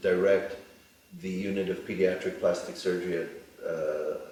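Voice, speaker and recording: A man with a New York accent amid audible room echo. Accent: American (New York). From New York, US. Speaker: plastic surgeon. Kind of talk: interview. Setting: studio.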